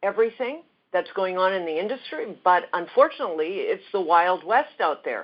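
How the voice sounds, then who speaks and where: A woman talks at a moderate pace with a medium pitch. Hers is a normal speaking voice. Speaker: skincare educator. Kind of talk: interview.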